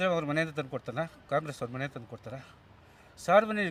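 A fairly high-pitched male voice. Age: 60s. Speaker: retired government employee, street interviewee. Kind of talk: street vox pop interview. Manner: animated.

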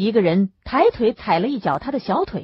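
The background stays quiet. A natural reading voice carries lively intonation.

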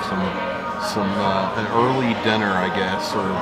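A man talks at a moderate pace while loud music fills the background. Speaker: travel vlogger. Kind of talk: casual vlog chat. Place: bar. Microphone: phone near.

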